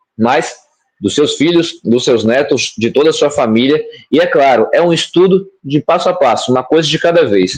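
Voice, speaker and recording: An ordinary speaking voice moves at a moderate pace with lively intonation and very even loudness. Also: man, fairly high pitch for a man. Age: young. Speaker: bitcoin educator. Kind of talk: explanatory answer in live stream Q&A.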